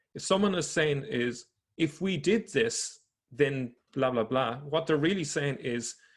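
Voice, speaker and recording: The voice is somewhat breathy, with an Irish accent. Its intonation is lively and its pace fairly slow. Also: man, fairly high pitch for a man. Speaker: religion researcher presenting findings. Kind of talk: presentation lecture. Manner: halting, with self-corrections.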